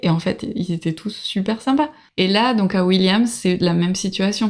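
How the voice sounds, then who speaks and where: At a fairly slow pace, a woman speaks at a medium pitch with ordinary variation, in a very clean recording with a silent background. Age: 30s. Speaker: traveler. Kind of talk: casual chat. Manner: halting.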